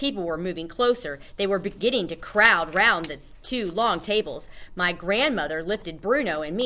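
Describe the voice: What you hear is plain reading aloud.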